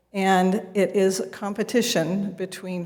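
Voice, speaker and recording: A woman speaks at a medium pitch in a flat monotone, with audible room echo. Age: old. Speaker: resident at public comment. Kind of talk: public comment at council meeting. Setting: city council meeting.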